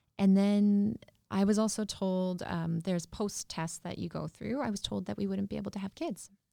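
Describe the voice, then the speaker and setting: A woman speaks with a Canadian Prairie accent. Her tone is dark and mellow. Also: medium pitch for a woman, fairly even intonation, moderate pace. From rural Saskatchewan, near Yorkton. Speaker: entrepreneur and cancer survivor. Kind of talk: interview.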